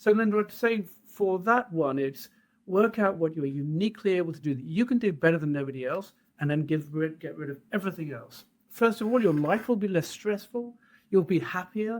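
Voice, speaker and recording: With a British accent, the speaker talks at a fairly quick pace with lively intonation. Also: man, high pitch for a man. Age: 60s. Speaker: trade association head, entrepreneur. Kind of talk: podcast interview.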